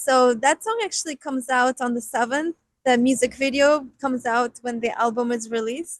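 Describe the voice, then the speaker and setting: The speech moves at a moderate pace with fairly even intonation. The sound is dry and close, with no echo. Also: woman, high pitch for a woman. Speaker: rock band vocalist and keyboardist. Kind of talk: interview.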